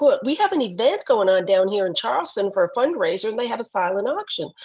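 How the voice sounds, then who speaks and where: The speaker is a woman. Her pitch varies in an ordinary way. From Ottawa, Canada. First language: French. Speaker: leadership coach. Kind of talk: podcast interview.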